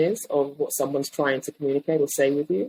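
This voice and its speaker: A woman with a British accent and a dark, mellow tone, at a moderate pace. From England. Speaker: design leader. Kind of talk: interview.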